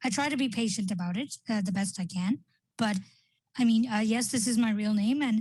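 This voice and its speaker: With a fairly high pitch and ordinary pitch variation, a woman talks at a fairly quick pace in a somewhat breathy voice. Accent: South Asian. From Canada, Indian family born in Qatar. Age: 30s. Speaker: panelist, blind advocate. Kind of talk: panel discussion. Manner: halting, many fillers.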